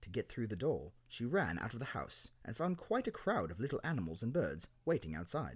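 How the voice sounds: The clip features a natural reading voice.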